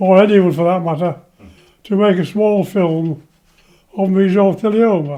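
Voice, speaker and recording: A man with an English accent talks at a fairly slow pace, his high voice following a fairly even intonation. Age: 90s. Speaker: retired train driver, cancer patient. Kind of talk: personal testimony interview.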